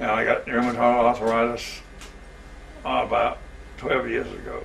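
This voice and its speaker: A man talks at a moderate pace with a Southern US accent. Noticeable background noise sits behind him. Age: 80s+. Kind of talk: interview answer.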